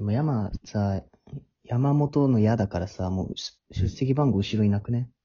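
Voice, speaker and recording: A somewhat breathy, fairly low male voice with ordinary pitch variation at a fairly slow pace. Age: 20s. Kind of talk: casual chat.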